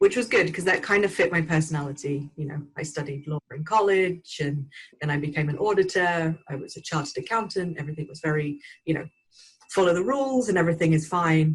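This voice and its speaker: Somewhat breathy, a woman with an English accent talks at a very fast pace. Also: fairly low pitch for a woman, ordinary pitch variation, big swings in loudness. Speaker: burnout recovery expert and speaker. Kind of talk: podcast interview.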